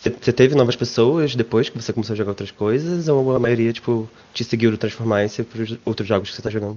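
A man talks at a very fast pace with a medium pitch. His intonation is fairly even. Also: hardly any pauses. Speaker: podcast co-host. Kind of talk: casual chat.

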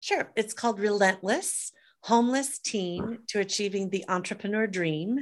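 A woman speaks in a normal speaking voice at a moderate pace, her medium pitch moving with ordinary variation. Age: 50s. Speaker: author and entrepreneur. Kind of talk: interview.

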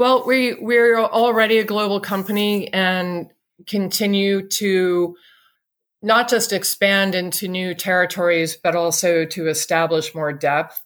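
At a fairly slow pace, a woman with a normal speaking voice and an American accent talks at a medium pitch with ordinary pitch variation, on a very clean recording with a silent background. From England and the US. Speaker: clean energy company CEO. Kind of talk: interview.

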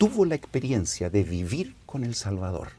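A somewhat breathy voice with a dark, mellow tone moves at a moderate pace through very wide pitch swings. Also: man. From Chile, Santiago. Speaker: former church seminary director. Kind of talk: scripture class discussion.

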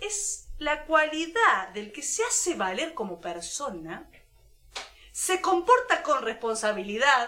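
Over noticeable background noise, a woman speaks in a raised, projected voice at a very slow pace. Her pitch is high and swings very widely. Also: big swings in loudness. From La Pampa, Argentina (near Córdoba border). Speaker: podcast co-host. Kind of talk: casual chat.

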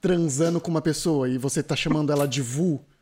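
In a normal speaking voice, a man talks at a fairly quick pace with a fairly high pitch and ordinary pitch variation. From Brazil. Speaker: podcast host. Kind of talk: casual chat.

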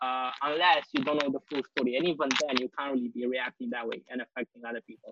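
A man talks fast at a medium pitch with fairly even intonation, his tone bright and sharp with a slightly husky edge.

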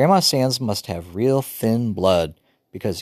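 The background stays quiet while the text is delivered in a natural reading voice.

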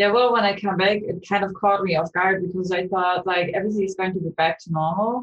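The speech runs at a very fast pace with hardly any pauses. Intonation stays fairly even. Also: woman, medium pitch for a woman. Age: 20s. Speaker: student and startup co-founder. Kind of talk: interview.

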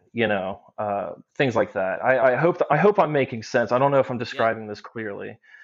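Speaking fairly quickly with an American accent, a man uses lively intonation at a medium pitch. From Cincinnati, Ohio. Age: 30s. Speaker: paintball player. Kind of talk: casual chat. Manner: rambling, self-deprecating.

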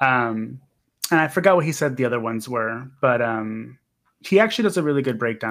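A man talks at a fairly quick pace in a normal speaking voice of medium pitch. The recording is very clean, with a silent background. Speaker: horror podcast host. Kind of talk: casual chat.

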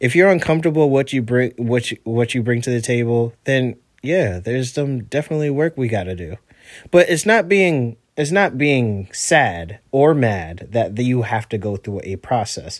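A moderate pace on a very clean recording, silent background. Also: man, medium pitch for a man, lively intonation. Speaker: solo podcast host. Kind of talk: casual monologue. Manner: rambling, hesitant with fillers.

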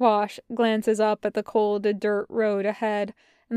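This is a natural reading voice. Nothing else marks it.

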